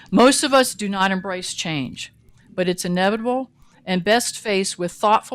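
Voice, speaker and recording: On a very clean recording with a silent background, a woman with an ordinary speaking voice talks at medium pitch and a moderate pace with lively intonation. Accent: American. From Virginia. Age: 60s. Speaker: retired teacher giving public comment. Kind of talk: public comment at a meeting. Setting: county commission meeting.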